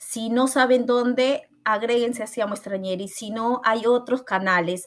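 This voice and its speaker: Noticeable background noise sits behind a woman with a fairly high pitch. She speaks fairly slowly with ordinary pitch variation. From Peru, Callao (Lima). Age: 30s. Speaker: podcast co-founder and content creator. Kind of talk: casual interview.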